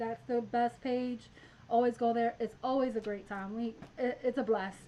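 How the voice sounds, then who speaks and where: A woman speaks at a fairly quick pace. Her voice is high, with fairly even intonation. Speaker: math teacher and channel host. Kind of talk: live stream math tutorial. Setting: live stream. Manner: fast; casual, chatty.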